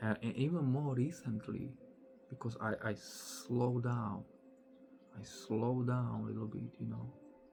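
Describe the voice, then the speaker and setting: Noticeable background noise runs under this recording. A man speaks with long, frequent pauses. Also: fairly slow pace. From Slovakia. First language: Slovak. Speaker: spiritual teacher. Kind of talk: casual monologue. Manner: slow, deliberate pace.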